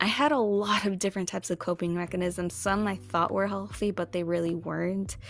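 Hardly pausing, a woman with a fairly low pitch and ordinary pitch variation speaks at a fairly quick pace. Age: 20s. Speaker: podcast host. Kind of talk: casual monologue.

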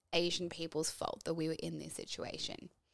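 In an Australian accent, a woman speaks at a fairly low pitch with monotone, flat intonation on a very clean recording with a silent background. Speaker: podcast host. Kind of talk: scripted narration.

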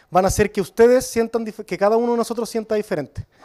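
A man speaks with a dark, mellow tone. The recording is very clean with a silent background, and the sound is dry and close with no echo. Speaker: brewery co-founder. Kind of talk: beer tasting talk. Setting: brewery with live audience.

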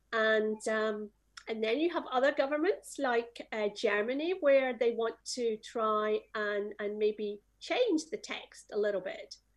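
This woman's pitch sits fairly high. She speaks at a fairly slow pace. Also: ordinary pitch variation. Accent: Scottish. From Scotland. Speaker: music industry association executive. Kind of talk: panel discussion. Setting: video call.

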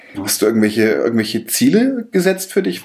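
A man at a medium pitch talks at a fairly quick pace with very wide pitch swings, over noticeable background noise. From Bavaria. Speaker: podcast host, interviewer. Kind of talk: interview. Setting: office room.

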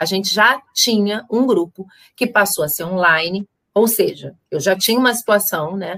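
At a moderate pace, a woman talks in a bright, sharp tone at medium pitch with ordinary pitch variation. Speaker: psychologist and therapist. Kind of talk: casual chat. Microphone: audio not reaching YouTube, computer sound issue.

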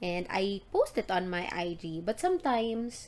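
A woman speaks in a Visayan Filipino accent. Her pitch is medium. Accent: Filipino (Cebuano) English. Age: 30s. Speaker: podcast host. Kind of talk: solo casual podcast monologue. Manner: animated.

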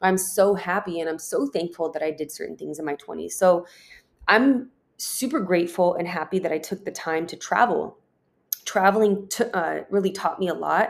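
Her moderate pace and medium pitch come with ordinary pitch variation in an ordinary speaking voice. The woman's loudness swings widely. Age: 30s. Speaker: podcast host. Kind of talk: solo monologue.

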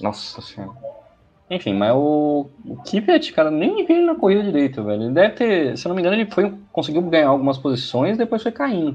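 At a fairly quick pace, a man speaks in a fairly high voice with very wide pitch swings. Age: 30s. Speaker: motorsport co-host. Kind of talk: casual chat. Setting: online live stream. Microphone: unstable connection, dropped out.

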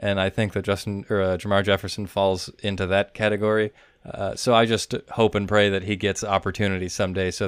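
A man with an American accent speaks at a fairly quick pace in a very deep, low voice. His intonation stays monotone and flat. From Wisconsin. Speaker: fantasy football podcast host. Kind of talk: casual chat.

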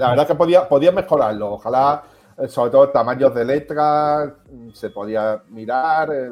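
A man's fairly high voice at a fairly slow pace, with ordinary pitch variation and music in the background. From Melilla, Spain. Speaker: self-employed tech enthusiast. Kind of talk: casual chat.

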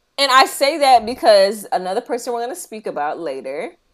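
A woman with an American accent, her pitch swinging very widely, at a moderate pace, on a very clean recording over a silent background. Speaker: podcast co-host. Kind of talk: casual chat.

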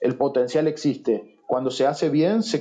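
In a dark, mellow tone, a man with a fairly high voice speaks at a moderate pace. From Argentina. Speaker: SEO specialist. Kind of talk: interview.

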